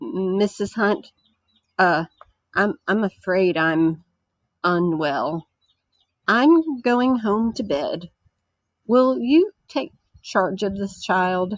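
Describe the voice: A put-on character voice, female-sounding, hoarse and croaky, at a middle pitch and a very slow pace with long, frequent pauses.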